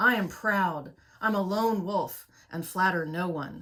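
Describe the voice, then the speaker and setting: In a put-on character voice, a woman growls at a fairly slow pace with a medium pitch. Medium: read story.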